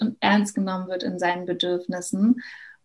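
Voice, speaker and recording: A woman speaks in a somewhat breathy voice. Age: 30s. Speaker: educator. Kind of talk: interview.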